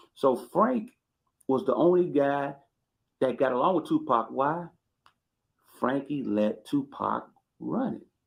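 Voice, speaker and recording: Lively intonation marks this man's fairly high voice. There is vocal fry in it. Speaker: YouTube commentator. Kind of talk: storytelling commentary. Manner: animated.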